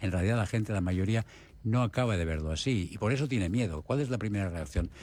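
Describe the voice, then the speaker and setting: Against a silent background in a very clean recording, a man talks very fast at a fairly low pitch with ordinary pitch variation. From Spain. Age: 70s. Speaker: palliative care doctor. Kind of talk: radio interview.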